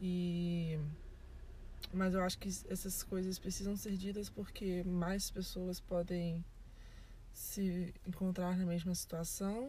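A woman at a medium pitch, somewhat breathy and monotone with flat intonation, at a very slow pace with long, frequent pauses, very even loudness and audible room echo. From Brazil. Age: 20s. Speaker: podcast host. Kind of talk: casual chat. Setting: in a parked car.

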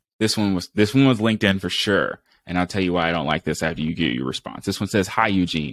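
Heard in a very clean recording with a silent background, the speaker has an American accent, vocal fry and an animated tone, talking at a fairly quick pace in a dry, close sound with no echo. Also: man. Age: 20s. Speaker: podcast host and Marine Corps veteran. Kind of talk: casual interview chat.

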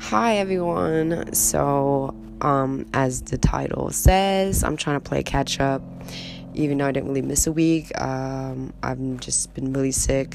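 A woman talks at a fairly slow pace while noticeable background noise runs underneath. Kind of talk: casual monologue.

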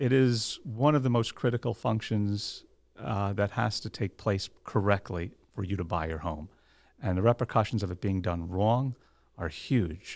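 The speaker has a New Jersey accent and ordinary pitch variation at a moderate pace. The recording is very clean, with a silent background. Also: man, fairly low pitch for a man. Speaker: lawyer and title agency owner. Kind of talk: interview.

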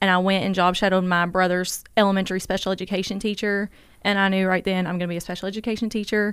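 Speaking very fast in a flat monotone, a woman holds a medium pitch on a very clean recording with a silent background. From Kentucky. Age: 20s. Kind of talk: interview.

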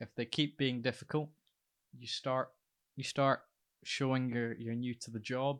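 On a very clean recording with a silent background, a man with a Scottish accent speaks at a medium pitch and a fairly slow pace, his intonation monotone and flat, with long, frequent pauses and big swings in loudness. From Scotland. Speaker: lighting technician and radio presenter. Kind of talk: casual chat.

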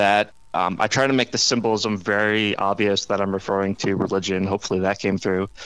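Speaking at a moderate pace in a normal speaking voice, a man with an American accent has a fairly low pitch and fairly even intonation. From US Midwest. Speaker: author and former newspaper reporter. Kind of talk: casual interview.

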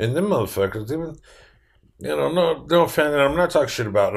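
In a very clean recording with a silent background, a man with an American accent talks at a very fast pace with vocal fry and very wide pitch swings. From Pueblo, Colorado, US. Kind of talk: casual chat.

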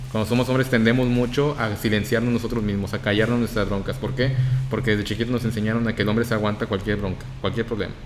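With a northern Mexican accent, a man speaks very fast at medium pitch in a monotone, flat intonation. Music plays in the background, and room echo is audible. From Mexico, Reynosa, Tamaulipas. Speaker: podcast guest. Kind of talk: casual chat.

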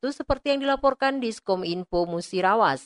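Very wide pitch swings in a dry, close sound with no echo. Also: woman, quiet background. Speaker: radio reporter. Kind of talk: news report.

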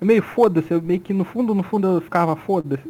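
High-pitched male speech, its pitch varying in an ordinary way. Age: 20s. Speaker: podcast co-host. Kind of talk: casual chat.

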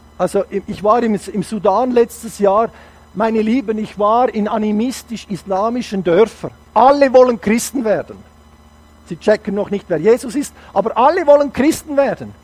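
Over noticeable background noise, a man with a high pitch talks in an animated tone at a moderate pace, with ordinary pitch variation. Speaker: guest preacher. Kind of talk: sermon. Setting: church service.

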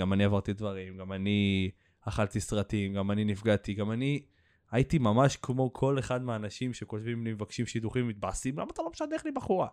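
A man with a fairly low pitch speaks fairly quickly and with fairly even intonation. The sound is dry and close with no echo, over a quiet background. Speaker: podcast host and social media creator. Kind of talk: casual chat.

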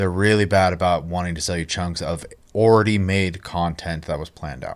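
The recording is very clean with a silent background. A man speaks in a very deep, low pitch with fairly even intonation. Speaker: gaming podcast co-host. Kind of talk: casual chat.

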